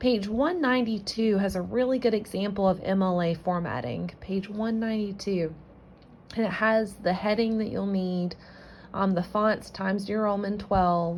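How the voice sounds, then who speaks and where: A woman's somewhat breathy, medium-pitched voice with audible room echo. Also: ordinary pitch variation, moderate pace. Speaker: college English teacher. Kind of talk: recorded lecture. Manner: strained, effortful speech.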